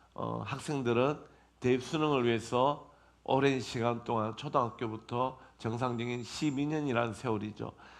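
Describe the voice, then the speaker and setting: A man talks at a moderate pace in a medium pitch with ordinary pitch variation. Audible room echo surrounds his voice. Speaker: pastor. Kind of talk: sermon. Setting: church.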